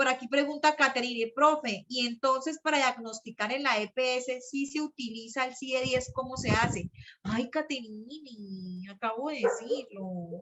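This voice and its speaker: A woman speaks at a fairly slow pace in a high, animated voice with ordinary pitch variation and hardly any pauses. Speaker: psychology teacher. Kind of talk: online class lecture.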